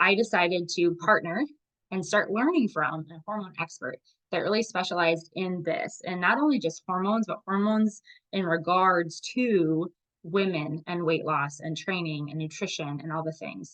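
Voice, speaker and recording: A woman with a fairly low pitch and an unremarkable speaking voice moves at a moderate pace, with ordinary pitch variation and big swings in loudness. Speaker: fitness and nutrition coach. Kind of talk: live group video call presentation.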